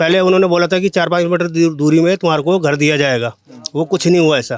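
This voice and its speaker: With normal ups and downs in pitch, this man's voice sits high. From Delhi. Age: 40s. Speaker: slum resident. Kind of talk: street interview.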